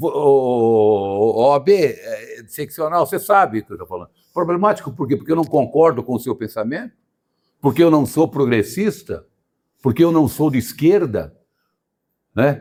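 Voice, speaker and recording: A man's dark, mellow tone at a moderate pace, with very wide pitch swings. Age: 70s. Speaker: lawyer and show host. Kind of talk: casual chat. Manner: animated; halting, many repetitions.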